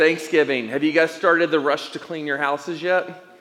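Against noticeable background noise, a man with an American accent speaks at a fairly high pitch and a moderate pace, with ordinary pitch variation. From East Tennessee. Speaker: pastor. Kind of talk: sermon. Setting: church.

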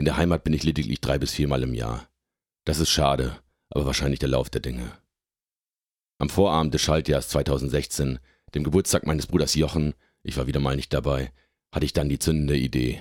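A man with a very deep, low pitch and vocal fry speaks at a fairly quick pace but with long, frequent pauses, his intonation fairly even. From northwestern Germany, Oldenburger Münsterland (Lower Saxony). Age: 30s. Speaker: software developer and podcaster. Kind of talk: scripted narration.

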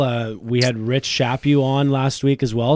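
The voice is a man's, pitched in the middle range. The melody changes only a little.

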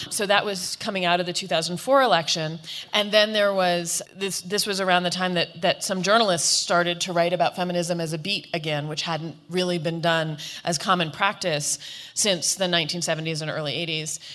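A woman with a normal speaking voice, pitched fairly low. Her intonation stays fairly even at a moderate pace. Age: 40s. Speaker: author and panelist. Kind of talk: panel discussion.

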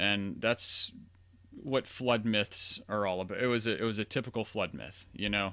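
A man's fairly low, bright, sharp voice with an American accent and ordinary pitch variation, on a very clean recording with a silent background. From US South, Louisiana near New Orleans. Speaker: podcaster and philosophy student. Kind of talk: solo monologue, casual commentary. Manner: hesitant, many fillers and restarts.

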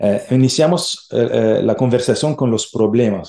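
Dark and mellow in tone, a man speaks at a moderate pace. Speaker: research centre director. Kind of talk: interview. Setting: remote call. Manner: halting.

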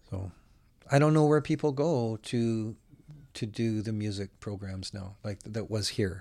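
A man's dark, mellow, fairly low-pitched voice, fairly slow in pace with ordinary pitch variation and big swings in loudness, on a very clean recording with a silent background. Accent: Western Canadian. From Alberta, Canada. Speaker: singer-songwriter. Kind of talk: casual chat.

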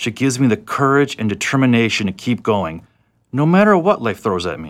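A man's plain, everyday voice, fairly quick in pace and lively in intonation. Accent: American. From South Florida. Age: 20s. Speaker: reentry program participant. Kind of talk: reading aloud.

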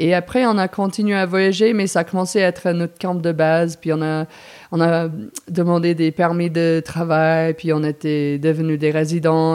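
In an English accent, the speaker keeps a moderate pace and fairly even intonation. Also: woman. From US Northeast, New Jersey. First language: English (speaking French). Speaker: mountain guide. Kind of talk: interview. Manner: halting.

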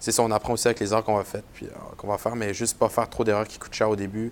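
Talking at a very fast pace, a man uses fairly low pitch. His intonation is monotone and flat. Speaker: podcast host, marketing coordinator. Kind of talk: podcast interview.

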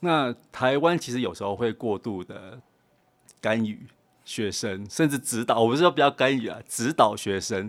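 In an ordinary speaking voice, a man talks at a medium pitch and a moderate pace with ordinary pitch variation. The recording is very clean, with a silent background. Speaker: design director. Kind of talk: interview. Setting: studio.

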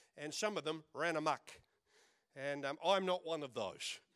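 Here is a man with an Australian accent and a playful tone. His pitch varies in an ordinary way, and the sound is dry and close with no echo. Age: 60s. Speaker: pastor. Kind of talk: lively, joking Pentecostal-style church sermon with audience call-and-response. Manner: punctuated by laughter, playful bantering delivery.

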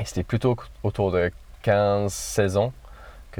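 A man with an English accent, in a very clean recording with a silent background. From northern England, Cumbria. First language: English (speaking French). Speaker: trail runner. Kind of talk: interview. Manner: halting.

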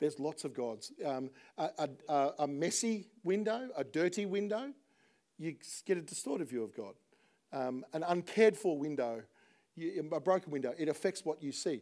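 With an Australian accent, a man speaks at a moderate pace in a fairly high pitch with a dark, mellow tone. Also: lively intonation. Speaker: pastor. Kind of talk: sermon. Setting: church.

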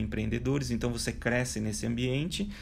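A fairly low male voice with very wide pitch swings and audible room echo. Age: 40s. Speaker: digital transformation speaker and author. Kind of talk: interview.

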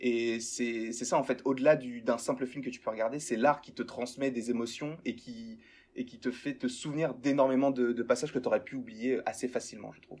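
A man speaks at a fairly quick pace in a medium pitch, his intonation monotone and flat while his loudness swings widely. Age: young. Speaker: YouTuber, pop culture fan. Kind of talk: casual chat. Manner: hesitant, many repeated words.

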